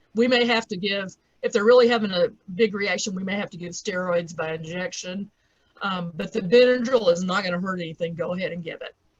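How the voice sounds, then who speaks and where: A woman with a Southern US accent speaks at a medium pitch, somewhat breathy, with ordinary pitch variation. Her loudness swings widely. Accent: southern drawl. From US South. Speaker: veterinarian. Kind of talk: lecture.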